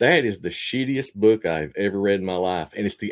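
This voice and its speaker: In an Appalachian accent, a man speaks fairly quickly with lively intonation on a very clean recording with a silent background. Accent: Appalachian Southern US. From Eastern Kentucky. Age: 40s. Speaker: fiction writer and poet. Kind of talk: casual interview.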